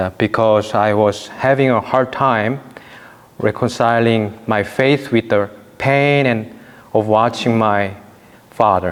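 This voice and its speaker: In a Korean accent, a man of medium pitch speaks at a very slow pace with long, frequent pauses, fairly even intonation and very even loudness. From South Korea. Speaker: priest. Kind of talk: testimony.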